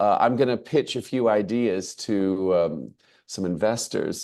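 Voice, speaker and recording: Against a quiet background, a man with an American accent speaks at a fairly slow pace. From United States. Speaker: English language lecturer and teacher. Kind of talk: webinar presentation. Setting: video call. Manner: halting, with fillers.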